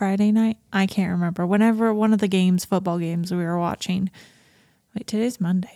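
At a fairly quick pace, a woman speaks in a dark, mellow tone at a medium pitch on a very clean recording with a silent background. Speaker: podcast co-host, new mother on maternity leave. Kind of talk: casual chat. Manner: loud; laughs often.

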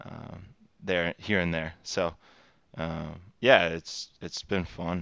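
A man with an American accent talks at a fairly slow pace in a very deep, low voice. His intonation is flat and monotone. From Texas. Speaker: recruiter. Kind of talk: interview. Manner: halting.

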